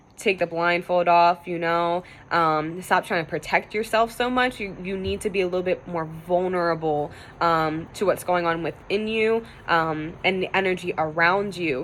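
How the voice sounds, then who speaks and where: A woman talks at a moderate pace with fairly even intonation. Her pitch is fairly low for a woman. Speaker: tarot reader. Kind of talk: tarot reading video. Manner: casual, filler-heavy with many 'um' and 'you know'; stumbling over words.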